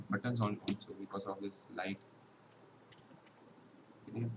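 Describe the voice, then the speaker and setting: Speech at a moderate pace with long, frequent pauses comes through noticeable background noise. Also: man. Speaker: security researcher. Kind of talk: technical tutorial talk. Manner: stammering.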